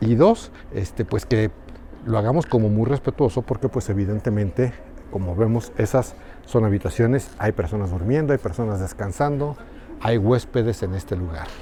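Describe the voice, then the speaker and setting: A man with a fairly low voice talks at a moderate speed while noticeable background noise carries on. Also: ordinary pitch variation. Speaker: travel vlogger, reporter. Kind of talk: travel vlog narration. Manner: speaking quietly; animated.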